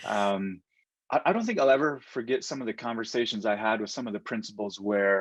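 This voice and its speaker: A man's fairly low voice with a Navajo Nation accent, fairly quick pace, fairly even intonation, and a quiet background. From Navajo Nation, US Southwest. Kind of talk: interview. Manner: hesitant, many fillers.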